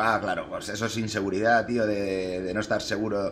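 Over light background noise, a man speaks at a fairly low pitch with a Spanish accent. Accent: Peninsular Spanish. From Spain. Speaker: sim racing streamer. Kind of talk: live gameplay commentary. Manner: casual, animated. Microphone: headset.

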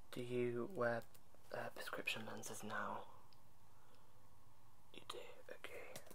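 A soft-spoken voice over light background noise. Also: man. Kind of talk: role-play consultation questions. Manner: soft, quiet ASMR roleplay voice. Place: home room. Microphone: webcam.

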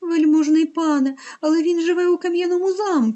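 In a put-on character voice, a woman speaks at an extremely high pitch. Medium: read story. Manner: very polite, flattering.

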